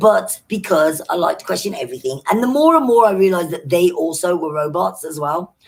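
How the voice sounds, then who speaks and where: With an English accent and lively intonation, a woman with a fairly low pitch talks at a fairly quick pace with hardly any pauses. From Britain. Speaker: social media vlogger. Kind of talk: live stream chat. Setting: live stream.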